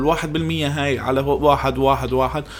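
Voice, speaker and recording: The man keeps a moderate pace while audible room echo and noticeable background noise fill the recording. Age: 20s. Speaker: podcast host. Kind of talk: solo podcast monologue.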